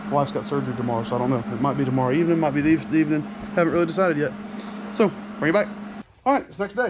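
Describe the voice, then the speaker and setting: The speaker has a Southern US accent. Noticeable background noise is present. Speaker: mechanic. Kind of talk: tutorial. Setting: workshop.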